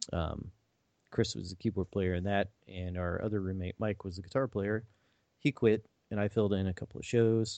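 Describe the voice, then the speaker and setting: This man has a plain, everyday voice, fairly low in pitch, with an American accent, a moderate pace and fairly even intonation. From Missouri. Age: 40s. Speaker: IT worker, musician and podcast co-host. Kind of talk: casual chat.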